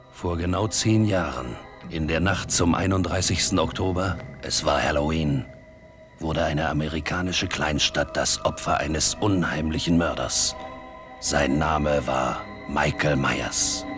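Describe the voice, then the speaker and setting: Over clear music in the background, a man with a very deep, low pitch speaks at a fairly slow pace with ordinary pitch variation and very even loudness. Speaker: voice actor. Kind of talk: movie trailer. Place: booth.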